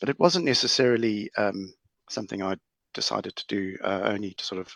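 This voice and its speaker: A man with a South African accent at medium pitch, moderate pace and ordinary pitch variation, in a dry, close sound with no echo and a quiet background. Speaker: lawyer in banking. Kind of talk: panel discussion. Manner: halting.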